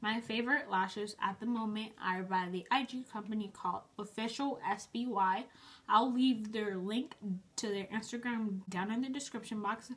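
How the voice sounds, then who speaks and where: A woman speaks at a fairly high pitch with fairly even intonation. Her voice is somewhat breathy. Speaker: beauty vlogger. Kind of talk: tutorial. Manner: fast; casual, chatty.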